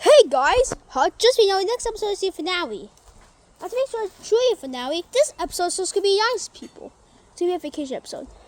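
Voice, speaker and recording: A cartoonish character voice, extremely high in pitch and very fast. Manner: excitable, quick announcer patter.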